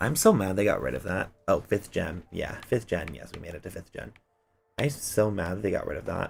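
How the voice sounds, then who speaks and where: Energetic in tone, a man talks at a fairly quick pace. His loudness swings widely. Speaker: gaming streamer. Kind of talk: casual livestream chat. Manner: hyper, energetic.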